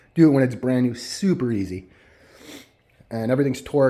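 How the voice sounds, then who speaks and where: A dark, mellow tone carries a fairly quick pace. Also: man. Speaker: dirt bike vlogger. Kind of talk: casual product walkthrough. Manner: fast; animated.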